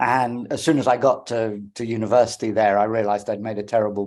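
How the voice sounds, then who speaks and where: With a British accent, a man talks at a fairly quick pace in a fairly low pitch and a monotone, flat intonation. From England. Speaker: philosophy professor. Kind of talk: interview.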